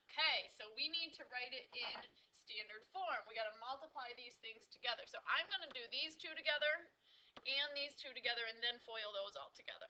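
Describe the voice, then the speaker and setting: Projecting her voice, a woman speaks at a fairly quick pace in a high, bright, sharp tone, with lively intonation and big swings in loudness. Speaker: math teacher. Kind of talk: tutorial. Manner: fast.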